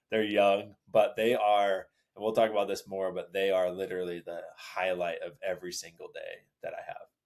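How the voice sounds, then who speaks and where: The speaker is a man going at a middling rate. His volume rises and falls by large amounts. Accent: American. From Los Angeles, US. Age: 30s. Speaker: father sharing his story. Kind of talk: casual interview conversation.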